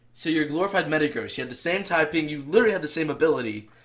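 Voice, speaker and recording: A man with an American accent, an ordinary speaking voice, and a fairly high pitch with ordinary pitch variation. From northern Texas. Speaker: podcast guest. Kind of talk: casual chat.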